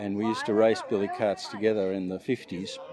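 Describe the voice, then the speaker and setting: A man with an Australian accent speaks at a moderate pace over noticeable background noise. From Australia, Melbourne. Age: 70s. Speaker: retired clothing retailer, billy cart racer. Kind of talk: casual interview. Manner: halting.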